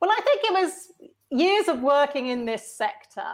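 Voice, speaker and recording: In a very clean recording with a silent background, a woman talks with an English accent. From UK. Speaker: innovation and leadership consultant. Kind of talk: interview.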